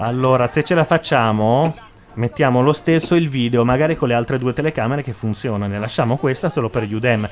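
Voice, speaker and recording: Noticeable background noise behind a male speaker with ordinary pitch variation and a fairly quick pace. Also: medium pitch for a man. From southern Italy, Lecce (Apulia). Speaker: web radio host. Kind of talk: casual chat. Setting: studio.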